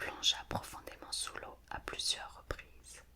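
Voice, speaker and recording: Someone whispers at a very slow pace in a calm tone. Noticeable background noise is present. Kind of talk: fairy tale reading. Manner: whispered; soft, calm.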